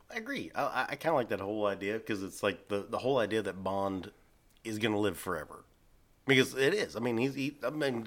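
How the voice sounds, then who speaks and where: Very clean recording with a silent background, a man speaking with ordinary pitch variation. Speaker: podcast host. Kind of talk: casual chat.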